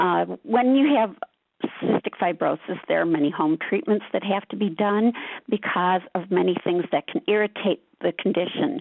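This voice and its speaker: At a moderate pace and a medium pitch, a woman talks in a plain, everyday voice with lively intonation. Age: 60s. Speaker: patient advocate. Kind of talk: webinar presentation.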